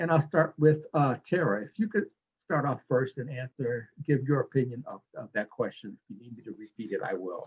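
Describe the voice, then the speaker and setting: Big swings in loudness mark this somewhat breathy voice, which has lively intonation. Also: man, fairly high pitch for a man, moderate pace. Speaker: panel moderator. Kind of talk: panel discussion moderation. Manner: halting, repeats words.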